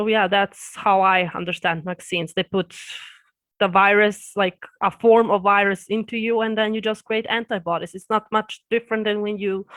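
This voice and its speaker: Speaking at a moderate pace, a woman with a Serbian accent keeps a medium pitch and a flat, monotone intonation. The recording is very clean and silent in the background, with a dry, close sound and no echo. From Serbia and Austria. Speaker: YouTuber. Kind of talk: interview. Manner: halting.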